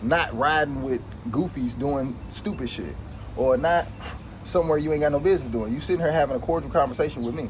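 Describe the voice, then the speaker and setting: A man speaks at a fairly quick clip with a fairly high pitch and ordinary pitch variation, over noticeable background noise. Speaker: vlogger. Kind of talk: casual vlog monologue. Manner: casual, repetitive.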